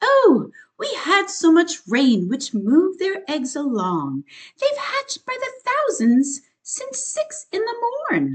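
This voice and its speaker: A woman puts on a character voice, pitched extremely high, and her pitch swings very widely. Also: fairly slow pace. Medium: read story.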